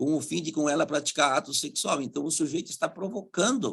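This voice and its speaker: The man's pitch sits fairly high as he talks at a moderate pace. He has an ordinary speaking voice. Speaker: public prosecutor, conference panelist. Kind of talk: conference talk with slides.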